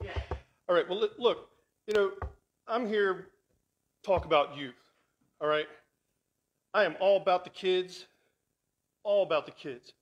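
A man is speaking here. His pace is moderate and his pitch varies an ordinary amount. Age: 50s. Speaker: guest speaker; guest. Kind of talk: sermon. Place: church.

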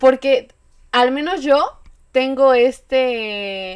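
There is little sound in the background. The voice belongs to a woman. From Querétaro, Mexico; Mexico. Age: 20s. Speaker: eyelash technician and content creator; podcast guest. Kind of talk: casual chat. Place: home room.

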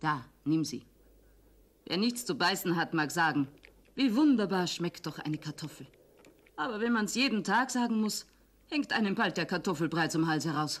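This is a rumbling, put-on character voice at a moderate pace with very wide pitch swings. The recording is very clean, with a silent background. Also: female-sounding voice. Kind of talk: puppet theatre acting. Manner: grumbling, sharp-tongued, angry.

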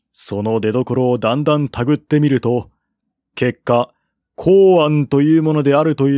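On a very clean recording with a silent background, a man speaks at a moderate pace in a dark, mellow tone. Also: dry, close sound with no echo.

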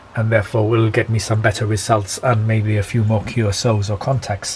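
In a British accent, a man at medium pitch speaks at a moderate pace with monotone, flat intonation over light background noise. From UK. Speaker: amateur radio operator and YouTuber. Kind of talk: tutorial. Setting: at home, filmed demonstration. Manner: halting, many fillers. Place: home room. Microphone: phone near.

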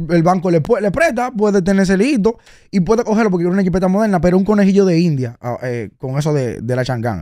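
Very fast speech in a Dominican accent, dark and mellow in tone, with very wide pitch swings, a dry sound with no echo and a quiet background. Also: man. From Dominican Republic. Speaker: car content creator and vehicle advisor; podcast guest, car commentator. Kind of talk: casual interview. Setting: radio studio. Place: studio. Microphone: studio mic.

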